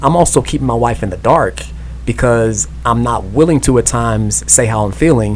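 Moderate-paced speech from a man, noticeable background noise behind it. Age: 30s. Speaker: podcast co-host, husband. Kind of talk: casual radio interview.

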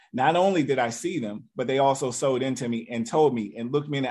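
In an ordinary speaking voice with ordinary pitch variation, a man talks at a fairly quick pace. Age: 40s. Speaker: network marketing leader. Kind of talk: motivational talk.

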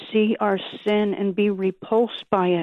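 A woman speaks with an unremarkable speaking voice, fairly slowly. Her pitch is medium and her intonation fairly even. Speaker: caller. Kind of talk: spontaneous scripture-based prayer. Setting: phone call.

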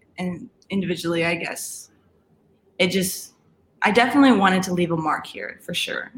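A woman speaks at a fairly quick pace with an American accent. Her pitch is medium, and hers is an unremarkable speaking voice. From Colorado, Aurora. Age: 20s. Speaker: college soccer player. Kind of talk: casual interview.

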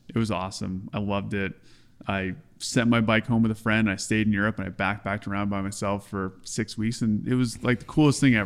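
Here is a man with a plain, everyday voice and a fairly low pitch. He talks at a fairly quick pace with fairly even intonation. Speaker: pro cyclist. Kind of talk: casual chat.

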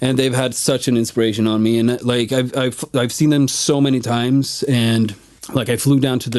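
A man with a Swedish accent, flat monotone intonation, and a moderate pace. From Sweden. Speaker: musician. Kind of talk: casual chat. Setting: studio.

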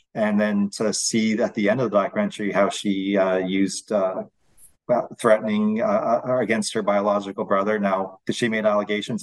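A man with a Canadian accent talks at a fairly quick pace against a quiet background. His intonation is monotone and flat, and his loudness stays very even. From London, Ontario, Canada. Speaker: First Nation chief. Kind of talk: radio interview. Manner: hesitant with many fillers.

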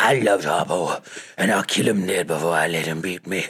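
Using a put-on character voice, a man speaks at a fairly quick pace in a very deep, low pitch. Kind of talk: dialect speech. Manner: intense, conviction, said like she means it.

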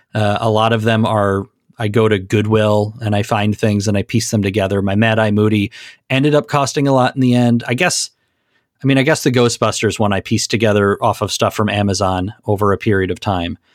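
Very clean and silent in the background, this dry, close recording with no echo has a man with an American accent and a plain, everyday voice talking at a fairly quick pace in a fairly low pitch, with fairly even intonation and very even loudness. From Minnesota. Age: 30s. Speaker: cosplayer and comics fan. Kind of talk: casual chat.

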